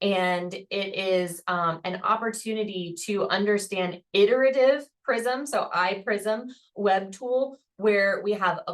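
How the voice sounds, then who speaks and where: Her pitch shows ordinary variation. The woman talks at a very slow pace. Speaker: professor. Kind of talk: webinar presentation.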